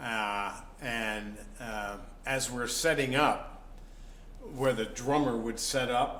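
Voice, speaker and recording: Over noticeable background noise and audible room echo, a man speaks at a medium pitch with fairly even intonation. His pace is very slow, broken by long, frequent pauses. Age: 60s. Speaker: blues musician. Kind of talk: casual interview. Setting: antiques shop venue.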